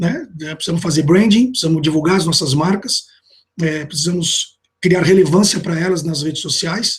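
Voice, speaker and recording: This man speaks fairly quickly, his pitch varying in an ordinary way. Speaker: marketing manager presenting to a team. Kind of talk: internal business presentation. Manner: hesitant with many fillers; informal, conversational.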